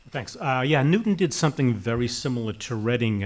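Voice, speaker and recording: This man has a Boston accent. He talks at a fairly quick pace. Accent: Watertown (Boston-area). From Massachusetts, Watertown. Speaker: municipal public works official, panelist. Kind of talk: panel discussion. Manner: halting, many fillers and restarts.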